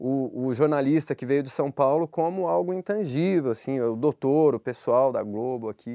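A man speaks in a dark, mellow tone with very wide pitch swings. The background is quiet and the sound dry and close, with no echo. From Brazil, Minas Gerais. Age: 30s. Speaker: podcast host. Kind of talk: interview. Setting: studio.

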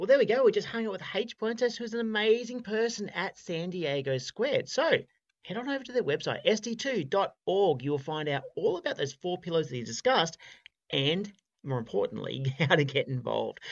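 Speech moves along at a moderate pace. It comes in an Australian accent. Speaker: podcast host. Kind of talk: interview.

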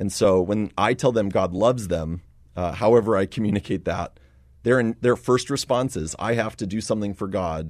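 A man's ordinary speaking voice, fairly low-pitched, at a moderate pace with ordinary pitch variation, against a quiet background. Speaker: missionary. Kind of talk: interview.

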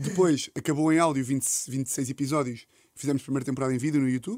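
At a very fast pace broken by long, frequent pauses, a man speaks in a European Portuguese accent at a fairly high pitch with ordinary pitch variation. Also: very clean recording, silent background. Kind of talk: casual chat.

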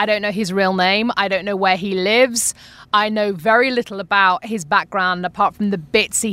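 Speaking with a British accent, a woman has a medium pitch and ordinary pitch variation. Her pace is fairly quick. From United Kingdom. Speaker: podcast host. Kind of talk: casual chat.

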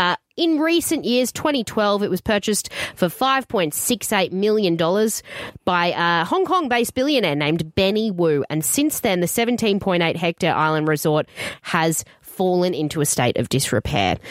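A woman with an Australian accent speaks at a fairly slow pace, her pitch swinging very widely. Her loudness stays very even throughout. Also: medium pitch for a woman, dry, close sound with no echo. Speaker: radio host. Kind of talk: casual chat.

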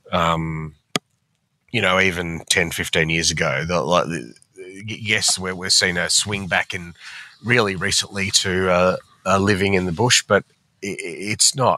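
With an Australian accent, a man speaks fairly slowly in a very deep, low pitch with a bright, sharp tone, fairly even intonation and long, frequent pauses. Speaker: financial newspaper columnist. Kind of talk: casual chat. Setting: remote recording.

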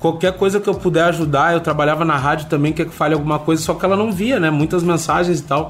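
Over noticeable background noise, a man talks at a very fast pace. His fairly high voice runs on with hardly any pauses. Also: fairly even intonation. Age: 20s. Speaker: reality show ex-contestant. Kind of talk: interview. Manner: casual, hesitant with fillers.

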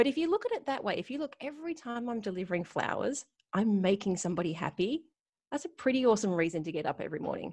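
A woman talks at a fairly quick pace in an Australian accent. Her fairly high pitch moves in very wide swings. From Australia, Sydney. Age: 40s. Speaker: retail business coach. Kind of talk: interview.

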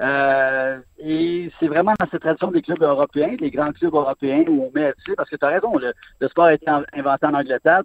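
At a moderate pace, a man with an ordinary speaking voice talks fairly high in pitch with ordinary pitch variation. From Montreal. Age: 50s. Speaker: sports columnist. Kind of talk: radio interview.

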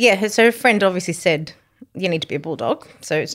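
A woman's fairly low voice with an Australian accent, lively intonation and a fairly quick pace. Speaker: charity founder, bereaved mother. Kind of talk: interview, emotional personal story. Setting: studio, on a couch.

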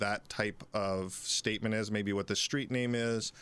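With an American accent, a man of fairly low pitch talks in a monotone, flat intonation, recorded very cleanly with a silent background. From Philadelphia. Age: 40s. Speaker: police detective. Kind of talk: interview. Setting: studio.

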